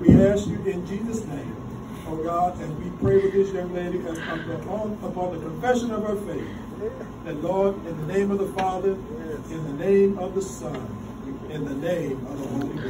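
Loud background noise sits under a man talking at a moderate pace with ordinary pitch variation. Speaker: minister officiating baptism. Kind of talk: prayer and baptism liturgy. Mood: warm, celebratory. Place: church.

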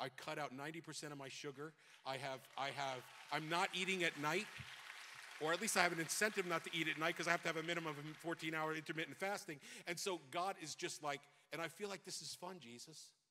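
A man with an American accent talks at a fairly quick pace in an animated, bright, sharp tone. Noticeable background noise can be heard. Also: fairly high pitch for a man. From New York. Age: 60s. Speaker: pastor; preacher. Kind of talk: sermon. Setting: church. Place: church. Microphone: handheld.

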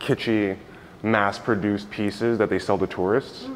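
A man speaks in an unremarkable speaking voice, fairly low in pitch, at a moderate pace with ordinary pitch variation and light background noise. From New York. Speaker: visual artist. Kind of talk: gallery tour talk. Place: hall. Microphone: phone near.

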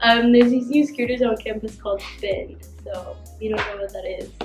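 Faint music plays in the background as a woman with a high pitch and ordinary pitch variation speaks at a moderate pace, with audible room echo. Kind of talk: casual vlog chat. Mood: cheerful, a bit nervous. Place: classroom. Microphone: camera far.

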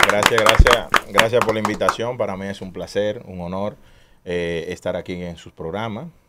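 This man has a fairly low pitch, ordinary pitch variation, a moderate pace and big swings in loudness, with an ordinary speaking voice. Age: 30s. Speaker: street racing community leader. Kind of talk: interview.

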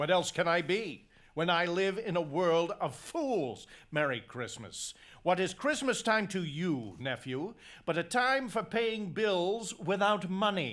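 A man's gruff, put-on character voice, high-pitched with lively intonation at a fairly slow pace, in a very clean recording with a silent background. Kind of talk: radio drama acting. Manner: gruff, scornful, irritable.

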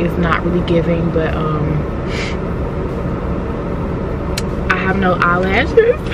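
A woman at a fairly slow pace, in a dry recording with no echo and loud background noise. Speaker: vlogger. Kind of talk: casual vlog chat. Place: car.

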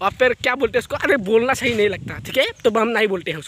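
Fast, bright and sharp male voice at an extremely high pitch

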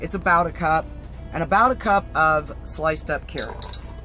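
A woman speaks over faint background music, her voice dry with no echo. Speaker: cooking vlogger. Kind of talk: casual vlog tutorial. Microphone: camera far.

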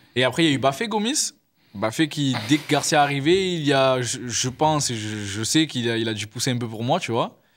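With lively intonation, a man speaks at a medium pitch and a moderate pace. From Marseille, France; France. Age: 20s. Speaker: professional footballer; guest. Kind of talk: casual interview. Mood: relaxed, reminiscing. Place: studio. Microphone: studio mic.

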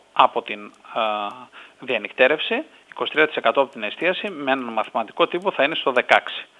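A man's fairly high-pitched voice with lively intonation and a fairly slow pace. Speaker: hotel industry representative. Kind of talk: phone interview. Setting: phone call.

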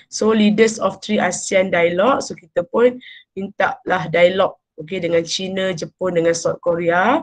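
A woman is speaking. The background is quiet. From Malaysia. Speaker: university lecturer. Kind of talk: lecture. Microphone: webcam.

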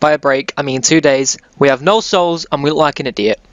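Noticeable background noise runs throughout. A man talks over it. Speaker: gaming YouTuber. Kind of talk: video game let's play commentary; angry rant, swearing at the game mid-fight. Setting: home recording, gameplay with voiceover. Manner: animated, loud, excitable, shouting panicked repeated curses; casual, sweary, jokey.

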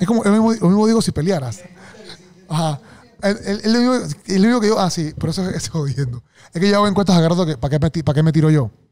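A man talks at a very fast pace. His pitch is high and his intonation lively. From Panama. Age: 30s. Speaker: podcast host. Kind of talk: casual interview chat. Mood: jokey, storytelling. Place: studio. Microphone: studio mic.

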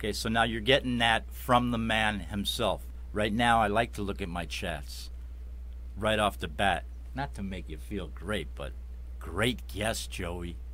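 Lively in intonation and bright, sharp in tone, a man with a Chicago accent talks fairly slowly in a very deep, low voice with vocal fry. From Chicago Heights, Illinois; Illinois. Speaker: web show host. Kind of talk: casual interview show. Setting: studio. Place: studio. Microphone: studio mic.

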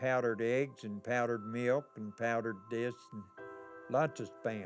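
Over clear music in the background, a man talks at a fairly slow pace, his medium pitch held in fairly even intonation. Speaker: war veteran. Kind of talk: interview answer. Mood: wry, reminiscent. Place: hall.

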